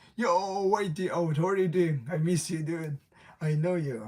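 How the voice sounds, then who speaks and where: Somewhat breathy and dark, mellow in tone, a man speaks with an American accent at a moderate pace. The recording is very clean, with a silent background. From South Asia, near India. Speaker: live streamer. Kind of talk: casual live stream chat. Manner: halting, with restarts and fillers.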